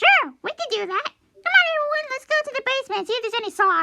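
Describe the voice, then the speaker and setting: A put-on character voice squeaks along at an extremely high pitch. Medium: read story. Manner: casual, upbeat.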